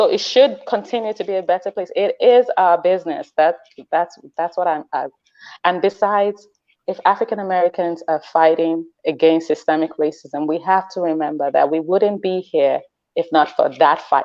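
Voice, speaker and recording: With a non-native accent, a woman speaks at a fairly low pitch with ordinary pitch variation. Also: moderate pace. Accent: foreign. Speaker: parenting webinar guest. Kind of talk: webinar discussion. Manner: animated.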